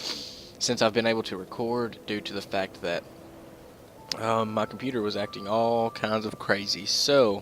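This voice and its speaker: Noticeable background noise sits behind a man speaking at a fairly low pitch with fairly even intonation. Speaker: let's play gamer. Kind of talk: gameplay commentary. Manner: monotone.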